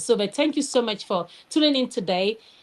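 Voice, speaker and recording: A high-pitched woman with a Nigerian accent, lively intonation, and a fairly quick pace. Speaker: educator and candle business owner. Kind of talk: live show interview. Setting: live online show.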